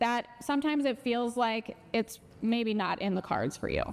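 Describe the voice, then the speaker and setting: Speaking with a strong Minnesota accent, a woman talks at a high pitch and moderate pace with ordinary pitch variation. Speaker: financial educator and speaker. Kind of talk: conference talk. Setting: stage with audience.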